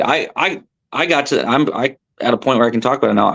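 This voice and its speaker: A man with an American accent speaks at a medium pitch and moderate pace. His tone is animated, with ordinary pitch variation. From southern California. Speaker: professional tournament angler. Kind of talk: podcast interview.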